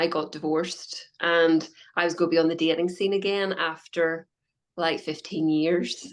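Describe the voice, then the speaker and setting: A woman speaks with a Northern Irish accent at a fairly low pitch. Her intonation is monotone and flat. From Northern Ireland. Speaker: health coach. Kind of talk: interview.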